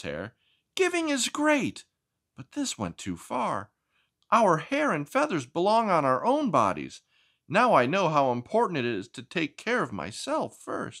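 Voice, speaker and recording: Put-on character voice from a man, pitched high, moderate in tempo. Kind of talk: read-aloud picture book voice. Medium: read story.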